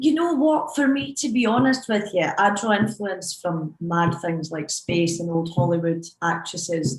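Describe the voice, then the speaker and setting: In a Scottish accent, a woman speaks at a fairly slow pace with hardly any pauses. Her pitch is fairly low and her intonation lively. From Scotland. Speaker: DJ. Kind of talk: panel discussion.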